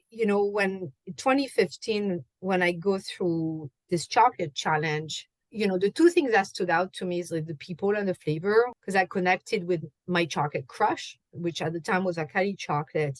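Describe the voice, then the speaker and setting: At a moderate pace and medium pitch, a woman speaks with ordinary pitch variation in a dry, close sound with no echo. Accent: French. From France. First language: French. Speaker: chocolate and wine pairing host. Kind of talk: podcast interview.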